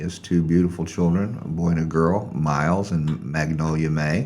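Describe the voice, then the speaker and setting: A man with a very deep, low pitch and a Southern US accent, fairly slow pace, ordinary pitch variation, and audible room echo. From US South, Arkansas (North Little Rock). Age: 60s. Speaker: guest, former chef. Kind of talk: casual interview chat. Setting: studio.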